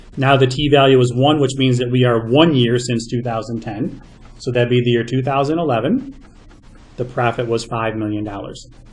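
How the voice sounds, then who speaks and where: A man speaks at a medium pitch with fairly even intonation, leaving long, frequent pauses. Room echo is audible. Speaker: math teacher. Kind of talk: lecture. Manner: fast.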